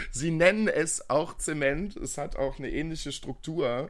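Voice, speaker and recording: The recording of this man is very clean, with nothing heard in the background. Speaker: podcast co-host, care worker. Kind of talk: casual chat. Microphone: new proper microphone.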